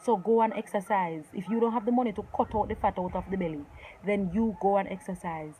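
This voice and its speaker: A woman talks at a very fast pace in a medium pitch. Noticeable background noise runs underneath. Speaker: lifestyle vlogger. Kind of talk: motivational talk to camera. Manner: loud, commanding; animated.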